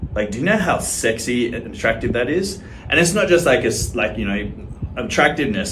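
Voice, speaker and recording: Over noticeable background noise and audible room echo, a man with an Australian accent speaks at a fairly quick pace with very wide pitch swings. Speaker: social media creator. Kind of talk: casual to-camera monologue.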